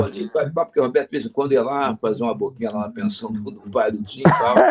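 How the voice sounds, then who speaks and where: Noticeable background noise accompanies a man talking at a very fast pace and medium pitch, his pitch swinging very widely. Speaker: veteran radio broadcaster, interviewee. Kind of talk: interview answer, storytelling anecdotes.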